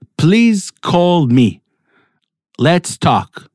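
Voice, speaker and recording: Lively intonation from a man with an Israeli accent, in a dry, close sound with no echo. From Israel (Netanya). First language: Hebrew. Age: 40s. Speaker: Torah teacher. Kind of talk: weekly Torah talk.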